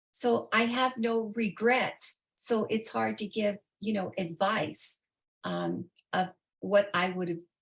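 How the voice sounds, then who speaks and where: A woman's somewhat breathy, medium-pitched voice at a very slow pace. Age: 80s. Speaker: interview guest, retiree. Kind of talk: interview answer.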